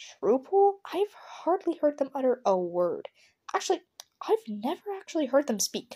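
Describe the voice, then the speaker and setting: Putting on a squeaky character voice, a woman speaks high-pitched at a moderate pace with very wide pitch swings. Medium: read story.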